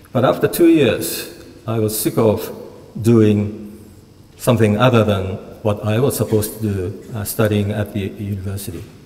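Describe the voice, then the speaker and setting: Speech comes at a moderate pace with a Japanese accent. The intonation stays fairly even. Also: man, fairly low pitch for a man. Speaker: university Japanese lecturer. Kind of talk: lecture. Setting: lecture hall with audience. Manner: humorous. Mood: relaxed, reminiscing. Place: hall. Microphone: podium.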